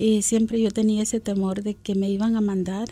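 At a moderate pace, a woman speaks with a fairly high pitch, a dark, mellow tone and a somewhat breathy quality. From Guatemala City. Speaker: immigrant community member. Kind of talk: personal testimony interview.

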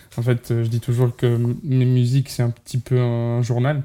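At a very slow pace, a man talks at a medium pitch in a dark, mellow tone. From Portugal. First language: Portuguese (speaking French). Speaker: singer and musician. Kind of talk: interview. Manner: halting, many fillers.

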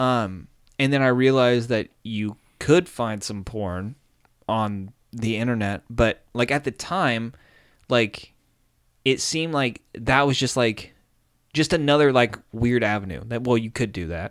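A man speaks at a fairly slow pace with long, frequent pauses. His medium pitch varies in an ordinary way on a very clean recording with a silent background. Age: 30s. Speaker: podcast host. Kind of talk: casual chat.

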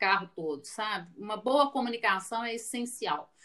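A woman is speaking at a fairly high pitch. Her pitch variation is ordinary. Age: 40s. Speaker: finance executive. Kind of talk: interview.

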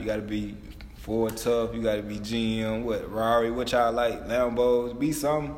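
Audible room echo and noticeable background noise surround the speaker. A man talks at medium pitch and a moderate pace. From small-town Louisiana. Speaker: former college football player, guest. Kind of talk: casual chat.

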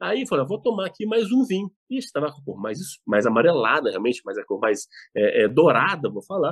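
Dry, close sound with no echo, and a man going at a fairly quick pace. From Brazil, Belo Horizonte (Minas Gerais). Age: 50s. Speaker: wine importer and business owner. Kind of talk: casual interview. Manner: halting, repeats words.

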